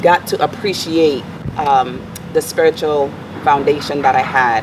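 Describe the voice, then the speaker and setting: A woman with a Virgin Islands accent and a very deep, low pitch speaks at a fairly slow pace, with very even loudness and fairly even intonation, over noticeable background noise. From US Virgin Islands, Saint Thomas. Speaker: motivational speaker and life coach. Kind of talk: interview.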